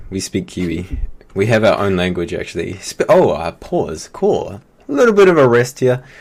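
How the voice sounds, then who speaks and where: In a New Zealand accent, the speaker talks at a moderate pace on a very clean recording with a silent background. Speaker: esports caster. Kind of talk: live commentary.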